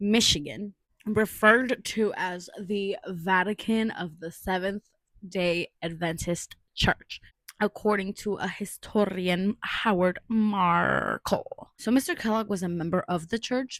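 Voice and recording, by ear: Slow and fairly bright in tone, a woman speaks at medium pitch with ordinary pitch variation in a dry, close sound with no echo.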